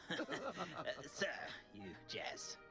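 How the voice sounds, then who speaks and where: A man performs a put-on character voice over loud music in the background. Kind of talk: genteel old English. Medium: video game. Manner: hesitant, polite, many um and uh.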